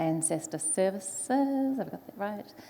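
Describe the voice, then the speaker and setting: A woman speaks with a New Zealand accent. Her intonation is lively. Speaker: panel moderator, foresight specialist. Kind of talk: panel discussion moderation.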